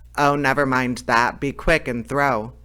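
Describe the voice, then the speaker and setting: Speaking at a medium pitch, the man adopts a put-on character voice. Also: moderate pace. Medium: read story. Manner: blustering but easily frightened.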